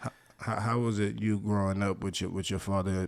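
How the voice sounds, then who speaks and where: Recorded dry and close with no echo, a man with an American accent speaks at a fairly quick pace with a very deep, low pitch and fairly even intonation. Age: 30s. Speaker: podcast host. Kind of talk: interview.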